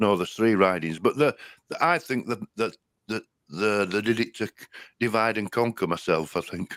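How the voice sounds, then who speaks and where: Recorded very cleanly against a silent background, a man with a Yorkshire accent speaks in a fairly low voice with ordinary pitch variation, the sound dry and close with no echo. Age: old. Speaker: online show host. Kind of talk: casual chat. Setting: live stream.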